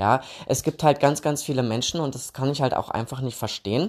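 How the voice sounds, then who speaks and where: A man at medium pitch with ordinary pitch variation and a moderate pace, recorded very cleanly over a silent background. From Thuringia, Germany. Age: 30s. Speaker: podcast host. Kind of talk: casual solo podcast talk. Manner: hesitant, many filler sounds.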